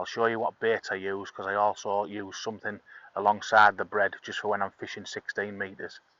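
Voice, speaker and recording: In an English accent, a man speaks fairly quickly at a fairly low pitch, his intonation monotone and flat. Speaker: angling video host. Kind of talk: tutorial. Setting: outdoors. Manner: soft-spoken.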